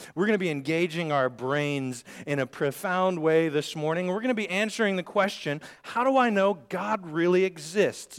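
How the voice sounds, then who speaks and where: This man's fairly high voice travels through very wide pitch swings. He keeps a moderate speed. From Scotland. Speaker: preacher. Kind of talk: sermon. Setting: church.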